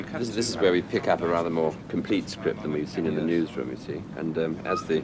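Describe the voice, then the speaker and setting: Against noticeable background noise, a man with a very deep, low pitch speaks at a fairly quick pace with ordinary pitch variation. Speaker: newsreader. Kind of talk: casual explanation.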